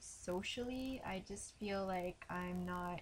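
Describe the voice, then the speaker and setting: Light noise sits behind the audio. The speaker is a woman. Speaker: vlogger. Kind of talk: casual vlog chat. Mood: subdued, emotional, reflective. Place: home room. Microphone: webcam.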